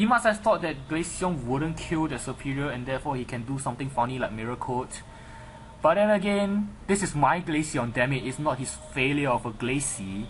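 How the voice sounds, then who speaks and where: With a non-native accent, a man speaks in a fairly high voice, his tone animated and his intonation lively. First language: not English. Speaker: gaming commentator. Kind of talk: live game commentary. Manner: halting.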